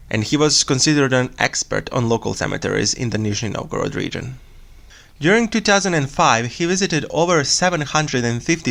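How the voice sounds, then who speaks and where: A man with a Serbian accent talks at a fairly quick pace with a fairly high pitch and lively intonation. The recording is very clean, with a silent background. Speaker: true crime podcast host. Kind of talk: casual storytelling podcast.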